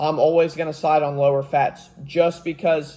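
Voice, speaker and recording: A man's fairly high, somewhat breathy voice, dark and mellow in tone, with monotone, flat intonation. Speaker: fitness youtuber. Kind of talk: tutorial. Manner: casual, unscripted with fillers; stuttering at times.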